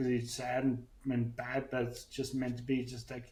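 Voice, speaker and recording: A man speaks at medium pitch in a somewhat breathy voice, with monotone, flat intonation. He goes at a fairly slow pace amid audible room echo. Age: 40s. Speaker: brain injury survivor and podcaster. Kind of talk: interview. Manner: halting, with speech deficit.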